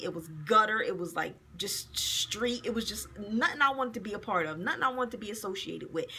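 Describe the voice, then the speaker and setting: This woman talks at a fairly quick pace, her fairly high voice carrying lively intonation. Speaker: video blogger. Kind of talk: angry rant, indignant and profane, scolding men who can't take rejection. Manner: heated, fast, sarcastic and exasperated, with emphatic profanity. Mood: annoyed, venting. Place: office. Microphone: phone near.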